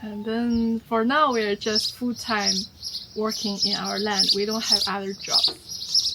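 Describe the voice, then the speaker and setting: Someone with a Chinese accent talks at a very slow pace with fairly even intonation over noticeable background noise. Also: woman. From China. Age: 30s. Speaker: homesteader and YouTuber. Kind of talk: casual Q&A chat.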